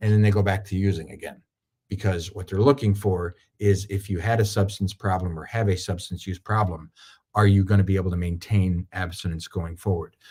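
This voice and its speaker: Fairly low in pitch and somewhat breathy, a man speaks in a dark, mellow tone with monotone, flat intonation. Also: fairly quick pace. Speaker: attorney. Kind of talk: webinar presentation. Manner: fast.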